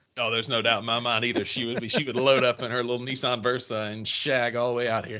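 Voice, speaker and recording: A man in a Mississippi accent at a very fast pace, hardly any pauses, medium pitch and monotone, flat intonation. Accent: country Mississippi. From northern Mississippi (Kossuth area). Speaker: sports podcast co-host. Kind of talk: casual chat.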